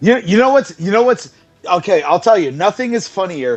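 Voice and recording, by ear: A man's intonation is lively. Music can be heard behind him.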